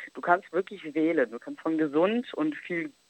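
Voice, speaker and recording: A woman with a fairly low voice speaks with lively intonation, recorded dry and close with no echo. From Germany, Italian roots. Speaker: travel influencer. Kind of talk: casual chat. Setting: phone call.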